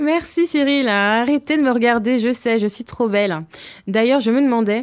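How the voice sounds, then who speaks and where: In a very clean recording with a silent background, a woman with a normal speaking voice and a fairly high pitch speaks at a moderate pace with lively intonation. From Hauts-de-Seine, Paris region. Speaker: radio columnist. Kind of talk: humorous opinion column. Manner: playful.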